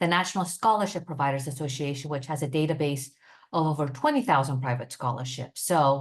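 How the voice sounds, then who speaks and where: The background is quiet. The speaker talks at a fairly quick pace. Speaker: nonprofit staff presenter. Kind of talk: webinar presentation. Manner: fast; hesitant, many fillers.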